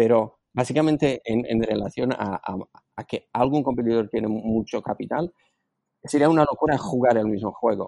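A dark, mellow tone at a moderate pace. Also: man, medium pitch for a man, ordinary pitch variation, dry, close sound with no echo. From Slovakia. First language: Slovak (speaking Spanish). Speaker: entrepreneur and business angel. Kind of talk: interview. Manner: halting.

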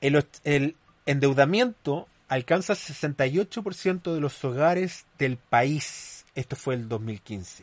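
A man speaks at a very slow pace, his pitch fairly high and his intonation lively. The sound is dry and close, with no echo. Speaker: podcast host. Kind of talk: commentary monologue. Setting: studio.

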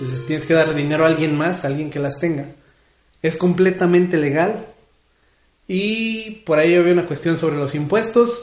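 A man's high-pitched, animated voice with ordinary pitch variation and audible room echo. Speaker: community radio host. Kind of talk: casual radio show chat.

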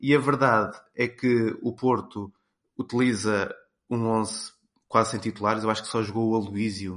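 With monotone, flat intonation, a man speaks at a medium pitch over a quiet background. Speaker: sports commentator. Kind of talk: casual chat.

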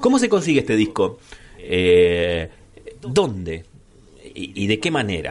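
A man speaks at a very slow pace. His speech is broken by long, frequent pauses. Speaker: radio host. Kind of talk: radio interview and music show. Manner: halting, many fillers.

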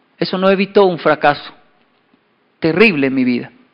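With lively intonation, a man talks at a fairly quick pace and a fairly high pitch. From Colombia and Japan (Japan from age 10 to 24). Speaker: motivational speaker. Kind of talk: keynote talk.

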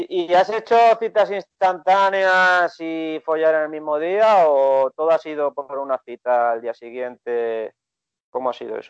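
A man with an ordinary speaking voice talks at a fairly high pitch and fairly slow pace with lively intonation. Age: 30s. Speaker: podcast host, dating coach. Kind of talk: casual interview.

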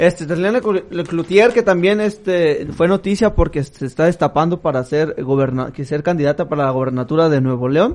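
A man with a high pitch and ordinary pitch variation, at a moderate pace with hardly any pauses. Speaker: podcast co-host. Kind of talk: casual chat.

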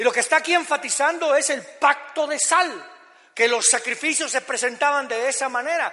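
This man's voice is raised and projected, pitched extremely high, with a bright, sharp tone. He keeps a moderate pace and fairly even intonation. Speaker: pastor. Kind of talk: sermon.

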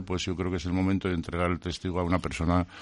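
With a quiet background, a man speaks at a very deep, low pitch in a monotone, flat intonation. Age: 70s. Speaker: retiring restaurant owner. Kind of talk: interview. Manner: halting.

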